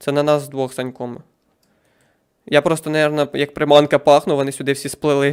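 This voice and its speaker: A man with a fairly high pitch speaks at a moderate pace in a monotone, flat way, with long, frequent pauses. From Ukraine, Poltava region. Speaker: gaming streamer. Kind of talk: live game stream commentary.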